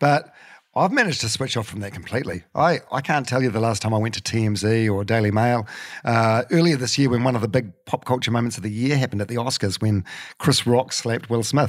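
Speaking at a very fast pace, a man with a New Zealand accent keeps a medium pitch and ordinary pitch variation. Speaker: radio broadcaster and podcaster. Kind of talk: casual chat. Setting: in a living room at home. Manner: halting, many fillers and repeats.

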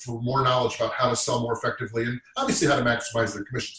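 A man talks in an American accent, with noticeable background noise around him. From Massachusetts. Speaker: sales leader. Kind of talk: panel discussion.

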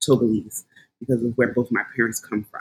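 A woman with a Philadelphia accent, very deep and low-pitched, speaking very fast in a flat monotone, with a dry, close sound and no echo. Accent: Philadelphia American English. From Philadelphia, US. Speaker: behavior analyst. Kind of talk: casual conversation about anti-racism.

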